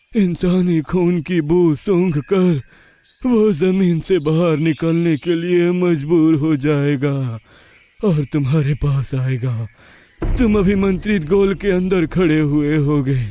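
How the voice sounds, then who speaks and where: Using a cartoonish character voice, a man talks at a fairly slow pace with a fairly high pitch and very even loudness. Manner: grave, commanding, instructive.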